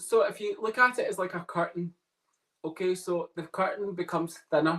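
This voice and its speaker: A man with a Scottish accent speaks at a moderate pace in a high voice with a bright, sharp tone. His pitch varies in an ordinary way. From Scotland. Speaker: psychic medium. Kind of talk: casual chat. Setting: podcast interview.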